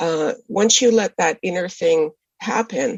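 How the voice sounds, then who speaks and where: A woman is speaking. Her voice has vocal fry. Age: 60s. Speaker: novelist. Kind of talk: interview. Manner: halting.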